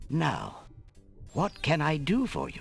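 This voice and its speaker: Music plays in the background as someone performs a put-on character voice at a middle pitch. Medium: video game. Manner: courteous, humble.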